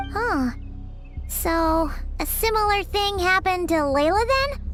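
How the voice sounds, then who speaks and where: An extremely high-pitched, cartoonish character voice talks at a fairly slow pace over loud background music. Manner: inquisitive, blunt.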